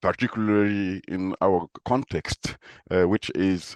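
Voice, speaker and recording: Against a quiet background, a man speaks very slowly in a very deep, low pitch with fairly even intonation, the sound dry and close with no echo. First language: Moore and Lele. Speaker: professor. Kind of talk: interview. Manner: halting, many fillers.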